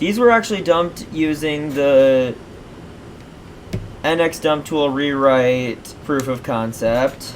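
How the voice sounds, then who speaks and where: Noticeable background noise runs under this recording. A man speaks at a very slow pace with long, frequent pauses. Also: fairly high pitch for a man, ordinary pitch variation. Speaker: tech YouTuber. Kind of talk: unscripted screen-recorded tutorial. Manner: stammers quite a bit; casual, meandering.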